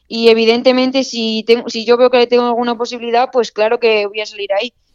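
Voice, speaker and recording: In a normal speaking voice, a woman talks fairly quickly at a fairly high pitch. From Spain, Extremadura. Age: 20s. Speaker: long-distance runner. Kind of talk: interview.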